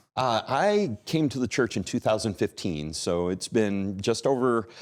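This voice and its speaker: A normal speaking voice moves at a fairly slow pace on a very clean recording with a silent background. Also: man, medium pitch for a man. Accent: American. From New York. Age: 50s. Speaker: Bible institute director. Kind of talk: casual interview. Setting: studio.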